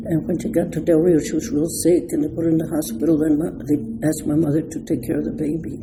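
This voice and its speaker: Amid noticeable background noise and audible room echo, a woman with a very deep, low pitch talks at a very fast pace with ordinary pitch variation. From Texas border, Del Rio. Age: 80s+. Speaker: senior citizen interviewee. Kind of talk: life story interview.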